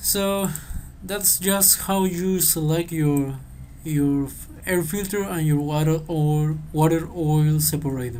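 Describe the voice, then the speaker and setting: Very slow speech comes in a non-native accent. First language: not English. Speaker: engineering tutor. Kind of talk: tutorial. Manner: halting.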